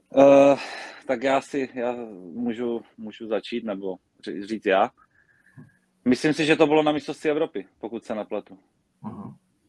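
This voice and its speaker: A man at a medium pitch and moderate pace, with ordinary pitch variation, big swings in loudness, long, frequent pauses, and a dry, close sound with no echo. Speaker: table tennis player. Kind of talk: casual interview.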